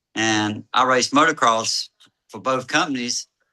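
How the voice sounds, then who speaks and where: Against a quiet background, a man with a North Carolina accent speaks in a bright, sharp tone. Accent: Southern US (North Carolina). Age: 60s. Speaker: dealership owner. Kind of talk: casual interview, storytelling.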